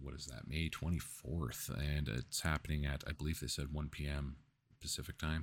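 A man with a very deep, low pitch and vocal fry speaks at a moderate pace in a flat monotone. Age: 30s. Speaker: gaming podcast host. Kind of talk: casual solo commentary. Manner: halting, many fillers.

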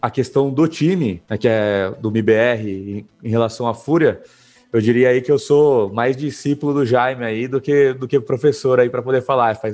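A man speaks at medium pitch and a moderate pace. He has an ordinary speaking voice with ordinary pitch variation. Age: 30s. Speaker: gaming company founder. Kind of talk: casual interview chat.

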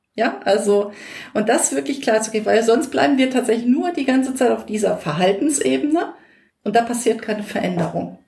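With very wide pitch swings and a fairly quick pace, a woman speaks amid audible room echo. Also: fairly high pitch for a woman. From North Rhine-Westphalia, Germany. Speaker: educational trainer and coach. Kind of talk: casual interview chat. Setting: in person, same room.

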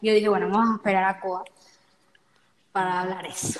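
Her intonation stays monotone and flat. The woman's pitch sits in the medium range. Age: 20s. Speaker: podcast host. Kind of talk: casual chat. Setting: emergency stairwell of apartment building.

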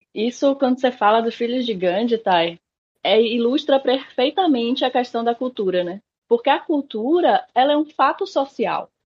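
Speaking in a Bahian accent at a moderate pace, a woman uses a high pitch and lively intonation. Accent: northeastern Brazilian (Bahia). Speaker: education researcher and activist. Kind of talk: interview conversation.

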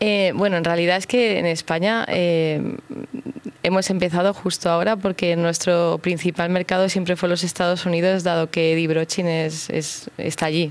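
A woman talks at a moderate pace in a monotone, flat way, with a fairly low pitch. Her loudness stays very even. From Madrid, Spain. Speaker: business owner. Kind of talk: radio interview. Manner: halting.

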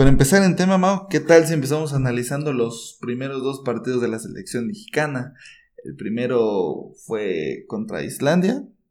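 Delivered at a moderate speed, an ordinary speaking voice rises and falls with lively intonation. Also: man. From Mexico, Chiapas. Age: 20s. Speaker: podcast co-host, football commentator. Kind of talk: casual football chat.

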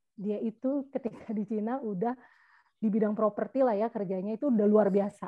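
This woman has an unremarkable speaking voice pitched fairly high. She talks at a fairly quick pace with fairly even intonation. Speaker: podcast co-host. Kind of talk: casual chat.

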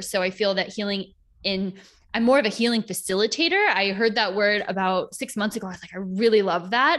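A woman with a normal speaking voice talks at a fairly quick pace and medium pitch. Her intonation stays fairly even, and the recording is very clean with a silent background. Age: 30s. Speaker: holistic healer and yoga teacher. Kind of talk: casual interview chat.

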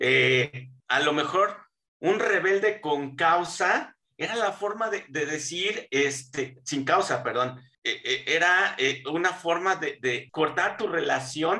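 The man speaks at a very slow pace. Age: 40s. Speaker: podcast guest. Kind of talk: casual chat.

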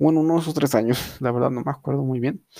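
In a dry, close recording with no echo, a man speaks at medium pitch with a dark, mellow tone. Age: young. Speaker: podcast host. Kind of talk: casual chat. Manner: halting.

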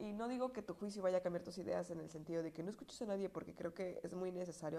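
Using a slight Puebla accent, a woman talks at a fairly low pitch with ordinary pitch variation. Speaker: podcaster. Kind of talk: casual monologue. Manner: conversational, filler-heavy.

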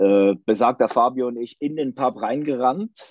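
A man is talking. His voice is medium in pitch. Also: dry, close sound with no echo. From Switzerland. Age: 30s. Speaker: football fan. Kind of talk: casual chat.

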